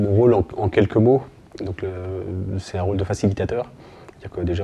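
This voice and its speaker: Amid noticeable background noise, a man with a very deep, low voice speaks at a very fast pace with fairly even intonation. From France, Burgundy (Côte-d'Or). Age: 40s. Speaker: sports club volunteer president. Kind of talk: interview testimony.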